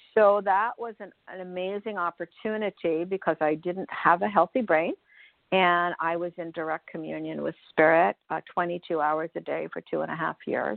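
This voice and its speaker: At a moderate pace, a woman talks in a normal speaking voice with a fairly low pitch and ordinary pitch variation. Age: 60s. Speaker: spirituality teacher. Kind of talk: radio interview.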